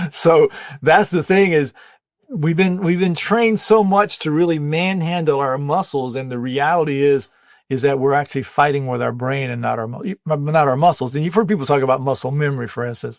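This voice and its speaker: A man with an American accent uses an ordinary speaking voice. He talks at a fairly quick pace with a fairly high pitch and ordinary pitch variation. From US South, North Carolina (Wilmington). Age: 60s. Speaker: muscle repair and aging expert. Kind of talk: interview, explaining.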